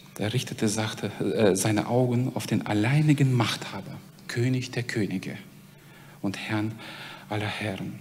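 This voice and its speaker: Audible room echo and noticeable background noise around a man talking fairly slowly. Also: long, frequent pauses. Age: 40s. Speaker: preacher at a mission organization. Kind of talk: sermon.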